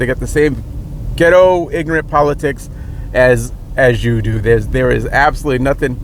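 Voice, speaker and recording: Noticeable background noise surrounds a man speaking with a Rhode Island accent. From Rhode Island, US. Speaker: political commentator. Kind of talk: opinion monologue. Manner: halting, many repetitions and fillers.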